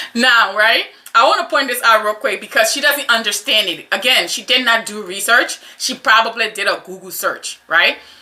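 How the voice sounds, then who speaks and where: Over noticeable background noise, a woman with a fairly high pitch speaks at a moderate pace in an animated tone, with ordinary pitch variation and big swings in loudness. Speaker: YouTube commentator. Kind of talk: reaction commentary.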